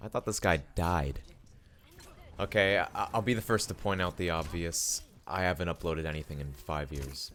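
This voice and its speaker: Soft-spoken and very deep, a man's voice shows vocal fry and lively intonation. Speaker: youtuber. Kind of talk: monologue. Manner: halting.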